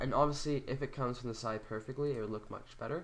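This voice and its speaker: A man rattles along at a very fast pace, his intonation fairly even. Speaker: video editing tutor. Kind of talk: screen-recorded software tutorial. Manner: casual.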